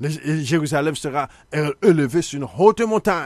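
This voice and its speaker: A man with a Haitian accent speaks at a fairly high pitch with ordinary pitch variation, the sound dry with no echo over a quiet background. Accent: Haitian Creole-accented French. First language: Haitian Creole (speaking French). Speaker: Bible teacher, TV show host. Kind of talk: biblical teaching broadcast. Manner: halting, repetitive. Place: studio. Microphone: studio mic.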